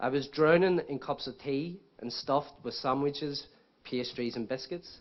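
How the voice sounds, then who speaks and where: Moderate pace and ordinary pitch variation from a man with a fairly high pitch. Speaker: book author. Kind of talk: speech at book launch. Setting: stage with audience.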